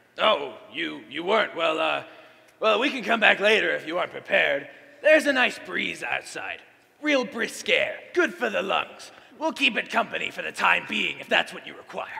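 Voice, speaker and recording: A man's put-on character voice with big swings in loudness. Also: moderate pace. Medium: stage play. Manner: crotchety.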